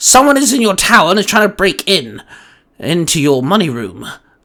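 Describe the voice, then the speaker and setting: At a fairly quick pace, a man puts on a character voice pitched high. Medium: read story. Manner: formal, stating flatly.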